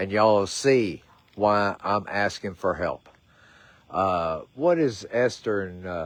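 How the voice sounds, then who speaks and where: In a Southern US accent, a man speaks very slowly at a fairly low pitch. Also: ordinary pitch variation. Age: 60s. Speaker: horse rescuer. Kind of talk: livestream appeal.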